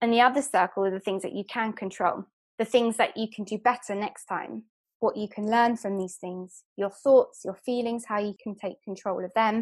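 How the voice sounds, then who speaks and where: A woman with a London accent, fairly high pitch, fairly even intonation and a moderate pace, against a quiet background. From London, England. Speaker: hypnotherapist and life coach. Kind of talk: podcast interview.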